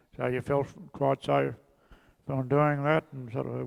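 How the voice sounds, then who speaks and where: A fairly slow, monotone, flat delivery in a rural Australian accent. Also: man. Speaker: local resident sharing memories. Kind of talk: group reminiscence. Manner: halting.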